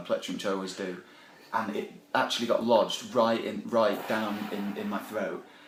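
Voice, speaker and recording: A man's voice in a Sheffield accent, with audible room echo and noticeable background noise. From Yorkshire, Sheffield. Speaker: band member, musician. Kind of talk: casual interview. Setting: backstage at a music festival. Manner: hesitant, lots of fillers.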